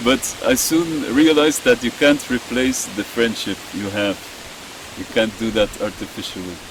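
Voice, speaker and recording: Someone with a non-native accent speaks at a moderate pace with ordinary pitch variation amid noticeable background noise. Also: man, medium pitch for a man. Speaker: podcast host. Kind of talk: casual chat.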